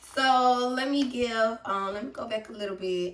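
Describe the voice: At a moderate pace, a woman speaks in a fairly high pitch with a fairly bright tone and ordinary pitch variation.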